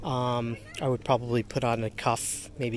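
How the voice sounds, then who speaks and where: A man's voice, dry with no echo, over light background noise. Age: 40s. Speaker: inline skater and skate gear reviewer. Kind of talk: casual gear review vlog. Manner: halting, frequent fillers. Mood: upbeat, enthusiastic. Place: street. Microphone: phone near.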